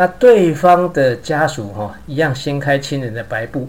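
Lively intonation rises and falls in a somewhat breathy voice. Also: man. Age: 50s. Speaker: podcaster. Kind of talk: personal storytelling monologue.

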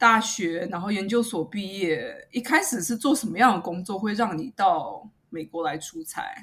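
Using a normal speaking voice, a woman of medium pitch talks at a moderate pace with lively intonation and hardly any pauses. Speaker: podcast host. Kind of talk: interview; scripted outro.

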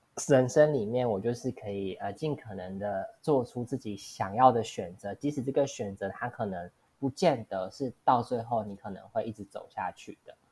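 On a very clean recording with a silent background, a woman speaks at a moderate pace in a very deep, low voice with a dark, mellow tone, ordinary pitch variation and big swings in loudness. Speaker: podcast host. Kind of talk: casual interview. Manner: halting, many fillers.

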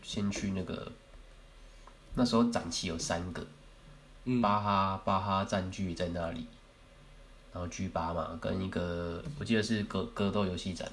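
Heard with audible room echo, the speaker talks at a moderate pace with ordinary pitch variation. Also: man. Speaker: podcast co-host. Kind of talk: casual chat. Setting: recording at co-host's home.

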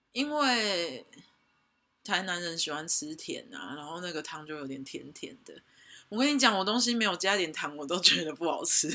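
The speaker talks at a moderate pace in a southern Taiwanese accent. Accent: Tainan Taiwanese Mandarin, little retroflex. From Taiwan, Tainan. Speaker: guest on podcast, personal brand creator. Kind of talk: casual chat.

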